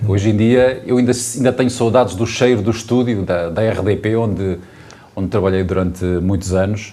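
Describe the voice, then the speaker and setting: Audible room echo is present. A man's voice is heard within it. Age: young. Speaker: mayor, former radio journalist. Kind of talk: panel conversation. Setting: town hall.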